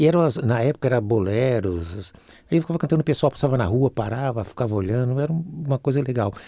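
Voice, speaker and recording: Here a man speaks at a very fast pace with a medium pitch and lively intonation. His tone is dark and mellow, and the recording is very clean with a silent background. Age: 70s. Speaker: singer and musician. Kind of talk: casual chat.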